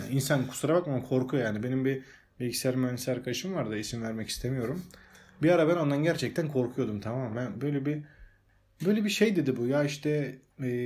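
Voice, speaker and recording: This man has a plain, everyday voice at a medium pitch, speaking at a fairly quick pace with ordinary pitch variation. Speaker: podcast host. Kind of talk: casual chat. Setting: at home.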